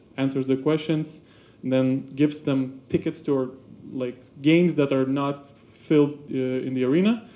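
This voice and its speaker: A man speaks at a moderate pace with a dark, mellow tone. His pitch is fairly high and his intonation fairly even. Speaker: basketball club marketing staff. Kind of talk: seminar presentation. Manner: halting, many fillers.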